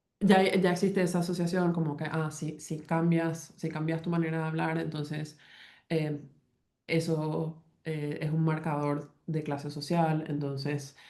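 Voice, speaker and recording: In a very deep, low voice with a dark, mellow tone, a woman speaks in a flat monotone amid audible room echo. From Paraguay. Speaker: linguistics professor. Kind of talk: academic talk. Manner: halting, many fillers and false starts.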